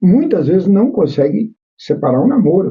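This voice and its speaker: Pitch swings very widely in this man's speech. He keeps a moderate pace. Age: 60s. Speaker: podcast host. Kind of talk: interview.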